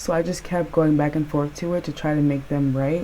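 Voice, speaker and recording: A woman speaks at a moderate pace with a very deep, low pitch. Noticeable background noise is present. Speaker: painting youtuber. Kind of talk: casual vlog commentary. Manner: casual, chatty.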